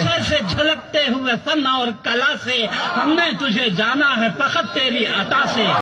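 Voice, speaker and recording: A man's raised, projected voice, extremely high in pitch, with ordinary pitch variation and very even loudness over noticeable background noise. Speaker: poet. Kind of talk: poetry reading.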